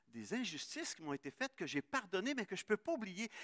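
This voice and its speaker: Recorded dry and close with no echo, a man talks at a fairly quick pace with very wide pitch swings. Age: 60s. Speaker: pastor. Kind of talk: sermon. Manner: halting.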